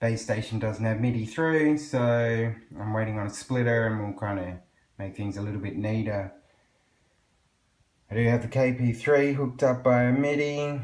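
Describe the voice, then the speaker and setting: Pausing long and often, a man with an Australian accent speaks at a moderate pace and a medium pitch. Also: ordinary pitch variation. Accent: thick Australian. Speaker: electronic music producer. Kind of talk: tutorial. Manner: casual.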